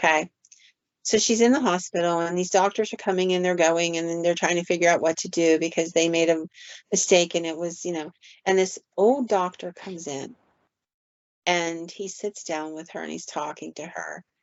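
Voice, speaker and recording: A woman with a plain, everyday voice speaks at a moderate pace and a fairly low pitch, her intonation fairly even but her loudness swinging widely. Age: 60s. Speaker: paranormal podcast host and storyteller. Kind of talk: storytelling in casual podcast chat.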